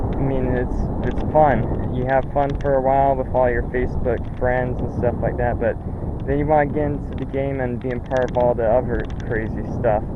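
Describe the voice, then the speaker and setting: The pace is moderate. Noticeable background noise and audible room echo fill the recording. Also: man, medium pitch for a man. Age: 20s. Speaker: ATV rider club founder. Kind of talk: casual vlog talk. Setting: outdoors on his property. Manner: halting, repetitive. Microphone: poor camera audio.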